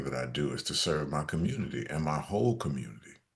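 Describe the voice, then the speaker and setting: With vocal fry and very wide pitch swings, a man speaks in a very deep, low voice at a fairly quick pace. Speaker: actor and jazz vocalist. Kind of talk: interview answer.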